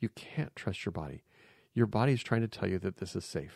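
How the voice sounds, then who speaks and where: Vocal fry marks this man's voice as he talks at a fairly quick pace. The recording is very clean and dry, with a silent background, a close sound and no echo. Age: 50s. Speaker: life coach and podcast host. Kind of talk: solo monologue podcast. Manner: halting, with frequent fillers.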